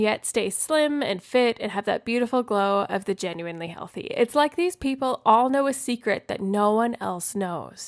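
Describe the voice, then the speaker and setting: Lively intonation marks the woman's plain, everyday voice as she talks at a moderate pace. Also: very clean recording, silent background. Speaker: podcast host; registered dietitian. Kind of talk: wellness podcast talk.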